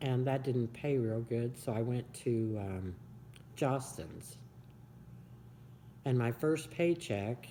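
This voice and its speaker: This voice has a dark, mellow tone and ordinary pitch variation, moving at a very slow pace with long, frequent pauses, in a Midwestern American accent. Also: woman, very deep, low pitch for a woman. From Kansas, US. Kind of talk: oral history interview answer.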